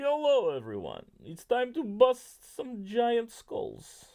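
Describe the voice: A put-on character voice comes in a Russian accent at a fairly high pitch. The pace is very slow. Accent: pseudo Russian.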